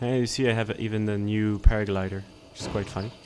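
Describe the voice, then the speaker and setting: Against noticeable background noise, a man with a non-native accent speaks at a fairly low pitch in a monotone, flat intonation. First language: not English. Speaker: gaming youtuber. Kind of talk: gameplay commentary. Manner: halting.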